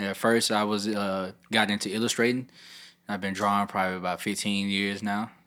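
A man with an American accent talks at a fairly quick pace in a fairly low pitch. His tone is bright and sharp, and his intonation is monotone and flat. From Memphis, Tennessee. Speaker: rapper. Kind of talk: casual chat.

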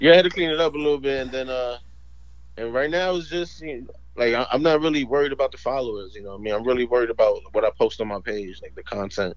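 A man with a New York accent at a very fast pace, full of lively intonation and big swings in loudness. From New York, Spanish Harlem. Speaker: comedy video creator and club host. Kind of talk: casual interview. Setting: phone call.

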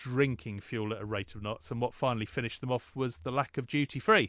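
A man talks at a fairly quick pace with an English accent. The background is quiet. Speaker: podcast co-host. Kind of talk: casual chat.

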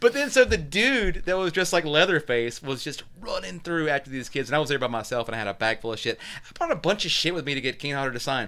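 A man talks at a very fast pace with hardly any pauses, his fairly high pitch swinging very widely. Noticeable background noise runs under his voice. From US South, North Carolina (Kernersville). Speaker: podcast guest, horror fan. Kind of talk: casual chat.

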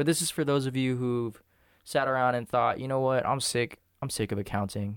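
In a normal speaking voice, a man talks fairly quickly at a medium pitch with ordinary pitch variation. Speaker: podcast host and artist. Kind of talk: casual chat. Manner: joking, playful.

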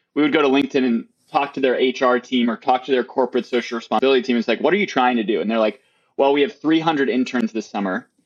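Ordinary pitch variation marks a man's speech, delivered at a very fast pace. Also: medium pitch for a man. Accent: American. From Wisconsin, near Milwaukee. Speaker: startup co-founder. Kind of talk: interview.

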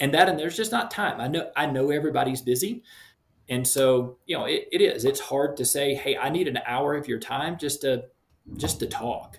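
A man with an American accent, fairly high in pitch, somewhat breathy, with ordinary pitch variation. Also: moderate pace. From Shreveport, Louisiana, US South. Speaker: missionary and youth soccer coach. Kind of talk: interview.

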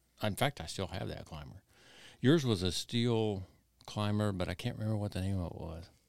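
A man with a plain, everyday voice speaks at a fairly quick pace, with fairly low pitch and ordinary pitch variation. The recording is very clean, with a silent background. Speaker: hunting podcast co-host. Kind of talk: casual chat.

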